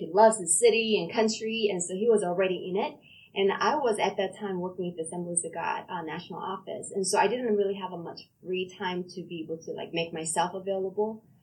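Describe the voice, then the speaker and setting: A woman's medium-pitched voice moves at a fairly quick pace with ordinary pitch variation, noticeable background noise behind her. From South Korea. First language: Korean. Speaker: pastor and police chaplain. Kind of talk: interview conversation.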